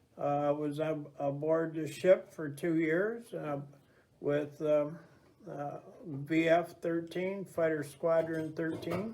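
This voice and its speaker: The speech comes at a very slow pace with an American accent. Intonation stays fairly even over noticeable background noise. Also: man. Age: 70s. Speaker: navy veteran. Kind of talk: interview. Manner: halting, many fillers.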